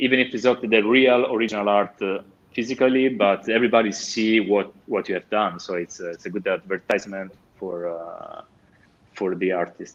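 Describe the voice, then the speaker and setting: In an Italian accent, a man talks at a moderate pace. His fairly low pitch shows ordinary variation. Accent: Italian accent, self-described rusty English. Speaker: comic artist and painter. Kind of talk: interview. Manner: halting, many fillers.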